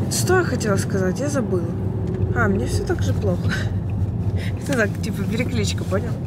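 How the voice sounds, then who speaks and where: The speech moves at a moderate pace with ordinary pitch variation. The sound is dry with no echo, under loud background noise. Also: woman. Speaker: vlogger. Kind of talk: casual vlog chat.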